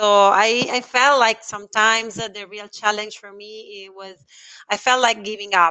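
A woman's fairly high voice in an Italian accent, at a fairly slow pace with fairly even intonation. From Italy. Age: 30s. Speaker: sales and marketing professional. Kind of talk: interview. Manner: halting.

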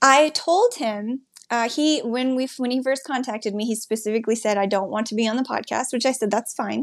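Speaking at a fairly quick pace with hardly any pauses, a woman uses a high voice and ordinary pitch variation. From Wyoming. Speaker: podcast host. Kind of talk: interview.

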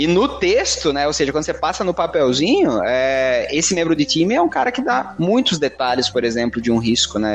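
Amid noticeable background noise, a man with a fairly high pitch talks at a fairly quick pace, his pitch swinging very widely. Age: 20s. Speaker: project manager. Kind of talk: casual chat.

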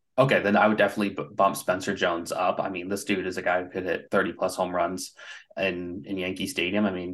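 Man with a very deep, low pitch, very fast pace, quiet background. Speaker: baseball prospect writer. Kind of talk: casual chat.

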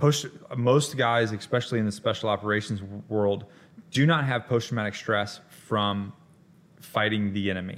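In an American accent, a man speaks with a fairly low pitch and ordinary pitch variation. He has an ordinary speaking voice and a moderate pace. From US South, Florida Panhandle. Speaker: Marine special operations veteran and author. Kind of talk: casual chat.

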